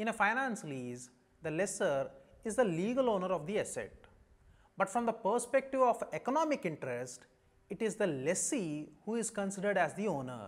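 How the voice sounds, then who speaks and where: With an Indian accent, a man speaks at a moderate pace. His pitch is high, with very wide swings. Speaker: chartered accountancy lecturer. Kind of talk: lecture. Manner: formal. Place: studio. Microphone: lapel.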